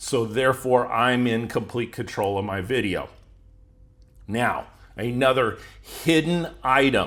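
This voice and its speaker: With an American accent, a man speaks at a medium pitch and a fairly slow pace. His pitch varies in an ordinary way, with long, frequent pauses. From United States. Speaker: YouTube growth coach. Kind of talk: tutorial.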